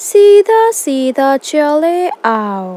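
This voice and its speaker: A cartoonish character voice with a high pitch and very wide pitch swings. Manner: coaxing, deceptive.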